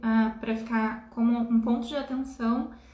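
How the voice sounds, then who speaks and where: Audible room echo surrounds a woman whose high-pitched voice has a monotone, flat intonation. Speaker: spiritual healer. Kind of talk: live stream talk. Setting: live stream.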